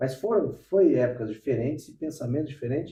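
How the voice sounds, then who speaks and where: A man is speaking. His pace is moderate. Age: 40s. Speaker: podcast host. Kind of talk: casual interview chat. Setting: at the guest's home.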